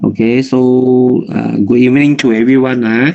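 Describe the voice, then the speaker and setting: A Malaysian accent at a very slow pace. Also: man. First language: Chinese. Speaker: nutritionist and health consultant. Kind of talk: health talk.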